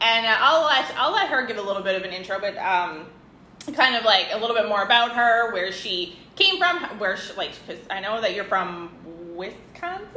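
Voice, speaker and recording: The speaker's intonation is lively and the tone animated, at a moderate pace. Room echo is audible, and background noise is noticeable. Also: woman, fairly high pitch for a woman. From Canada. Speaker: podcast host. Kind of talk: casual interview; podcast intro and outro monologue.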